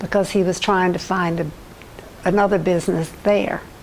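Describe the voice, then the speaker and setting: A woman speaks fairly slowly with an American accent and fairly even intonation. Noticeable background noise runs underneath. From US South. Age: 80s+. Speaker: community resident, elderly interviewee. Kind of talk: oral history interview. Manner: halting, many false starts.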